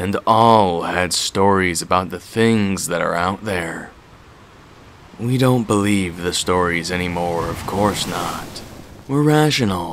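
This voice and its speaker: A man puts on a character voice, very deep and low in pitch, and delivers it fairly slowly. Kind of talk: horror narration. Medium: read story. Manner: slow, brooding.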